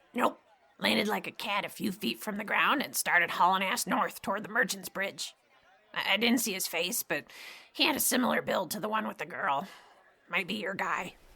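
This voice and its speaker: A woman puts on a raspy character voice with lively intonation, speaking at a moderate pace. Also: medium pitch for a woman. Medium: audio drama. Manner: wheedling, sarcastic, folksy.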